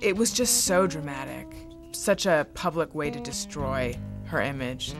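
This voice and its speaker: A woman's voice with music in the background. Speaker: TV panelist. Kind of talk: TV panel commentary.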